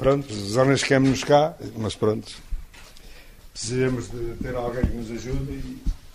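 There is audible room echo and noticeable background noise as a man speaks at a medium pitch with fairly even intonation. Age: 60s. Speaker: sawmill owner. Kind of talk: interview.

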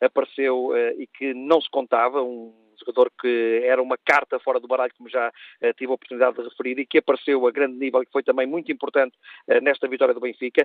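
A man talks at a very fast pace and a medium pitch. His intonation stays monotone and flat while his loudness swings widely. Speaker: sports journalist. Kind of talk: radio analysis. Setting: phone call. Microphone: bad phone line, dropping out.

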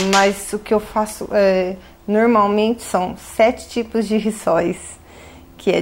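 At a very slow pace, a woman talks at a medium pitch with fairly even intonation. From Brazil. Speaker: manicurist and home baker. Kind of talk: interview.

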